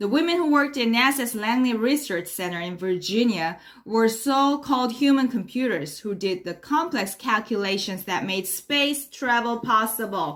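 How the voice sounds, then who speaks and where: Speaking at a moderate pace with lively intonation, a woman with a Korean accent has a fairly high pitch. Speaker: English learner. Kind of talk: mock news reading. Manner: formal.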